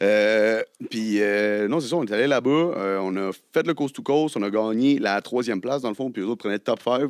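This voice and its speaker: A man talks at a fairly quick pace in an unremarkable speaking voice with ordinary pitch variation. The sound is dry and close with no echo, on a very clean recording with a silent background. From Quebec, Côte-Nord. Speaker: rapper. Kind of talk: casual chat.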